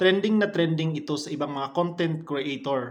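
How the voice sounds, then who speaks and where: Moderate-paced speech from a man, fairly high in pitch and with ordinary pitch variation. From Visayas, Philippines. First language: Cebuano (Bisaya) (speaking Tagalog). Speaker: vlogger. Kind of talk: casual vlog talk to camera.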